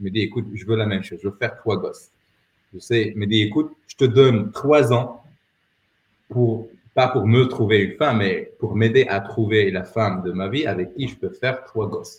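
A man speaks in a somewhat breathy voice at a medium pitch, with ordinary pitch variation. His loudness swings widely. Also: moderate pace. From Morocco, Rabat. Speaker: entrepreneur and former dating coach. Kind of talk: casual interview. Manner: halting.

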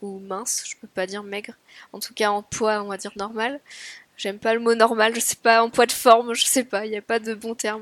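The very clean recording has a silent background and a dry, close sound with no echo. A woman speaks at a fairly high pitch with flat, monotone intonation. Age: 30s. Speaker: architecture firm assistant, weight-loss surgery patient. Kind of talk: interview testimony.

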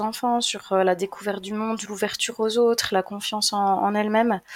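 Speaking at a fairly quick pace, a woman with a medium-pitched voice keeps her intonation flat and monotone. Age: 30s. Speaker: traveling single mother. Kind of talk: casual interview.

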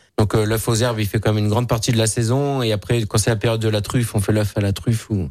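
A man's fairly low voice at a very fast pace with hardly any pauses and very even loudness, set against music in the background. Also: fairly even intonation. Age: young. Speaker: chef. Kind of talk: radio interview. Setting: studio.

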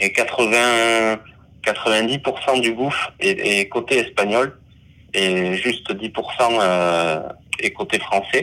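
The speech comes very slowly, with long and frequent pauses. The tone is bright and sharp, the loudness very even, and the pitch varies in an ordinary way. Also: man, medium pitch for a man. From French Basque Country. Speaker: underwater videographer and diver. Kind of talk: interview. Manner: hesitant, many fillers and repetitions.

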